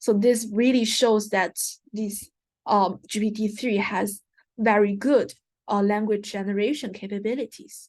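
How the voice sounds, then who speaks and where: A woman's fairly high voice at a moderate pace against a quiet background. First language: not English. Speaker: guest lecturer. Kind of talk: lecture. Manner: hesitant, frequent fillers.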